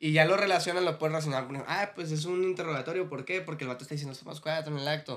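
Barely pausing, a man rattles along at a very fast pace in a fairly high voice with fairly even intonation. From Mexicali, Baja California. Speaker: rapper. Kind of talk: casual chat.

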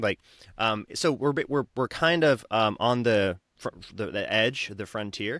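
On a very clean, dry, close recording with no echo and a silent background, a man with an American accent speaks at a medium pitch in a bright, sharp tone with lively intonation. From southern Utah, US. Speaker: wellness center founder. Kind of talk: interview conversation. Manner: halting, many repetitions.

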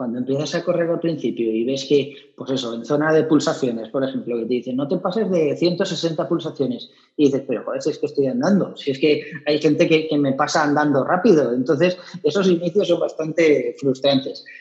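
Fairly high-pitched and somewhat breathy, a man talks at a fairly quick pace with ordinary pitch variation. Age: 40s. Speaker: amateur runner. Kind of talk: casual interview chat.

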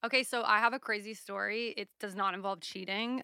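A woman speaks with a bright, sharp tone at a moderate pace and fairly even intonation. The sound is dry and close with no echo, with a very clean recording and silent background. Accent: American. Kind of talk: casual chat. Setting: studio.

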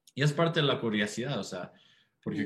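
Pitch swings very widely as a man talks in a somewhat breathy voice. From United States. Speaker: startup co-founder and CEO. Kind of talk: interview.

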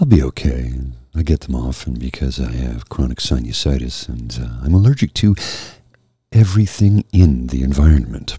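A man speaks at a moderate pace with a very deep, low pitch and lively intonation. His tone is dark and mellow, and somewhat breathy. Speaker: podcast host presenting jazz music. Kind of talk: casual monologue.

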